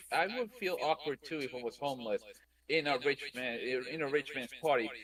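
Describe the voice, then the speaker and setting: A man with a Spanish accent. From Puerto Rico. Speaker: anime podcast panelist. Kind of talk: casual chat.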